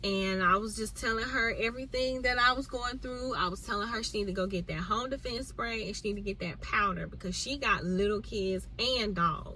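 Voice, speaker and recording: The speech moves at a fairly quick pace with hardly any pauses. Noticeable background noise and audible room echo are present. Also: woman, fairly high pitch for a woman, ordinary pitch variation. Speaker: vlogger. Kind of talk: casual chat.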